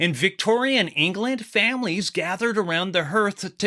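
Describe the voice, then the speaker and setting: Raised and projected, a man's high-pitched voice carries a bright, sharp tone. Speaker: podcast host. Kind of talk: horror podcast narration.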